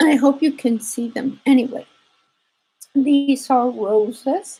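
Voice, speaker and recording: With a Spanish accent, a woman speaks at a very slow pace in a high pitch, with a dark, mellow tone and fairly even intonation. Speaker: embroidery teacher. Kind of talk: tutorial. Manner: halting.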